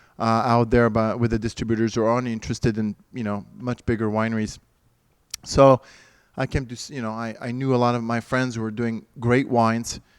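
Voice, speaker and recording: In a French accent, a man speaks at medium pitch and a fairly quick pace with monotone, flat intonation, on a very clean recording with a silent background. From France. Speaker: winery owner. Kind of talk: interview. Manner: halting.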